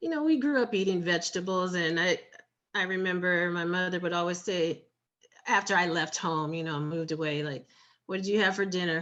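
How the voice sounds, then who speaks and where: A woman speaks fairly quickly in a fairly low pitch, with ordinary pitch variation and a plain, everyday voice. The background is quiet. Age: 50s. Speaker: food blogger and writer. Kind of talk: interview conversation.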